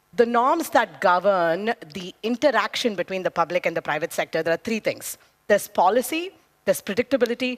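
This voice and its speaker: Loud and animated, a woman talks at a fairly quick pace with very wide pitch swings, the sound dry and close with no echo. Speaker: debate panelist. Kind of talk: debate speech.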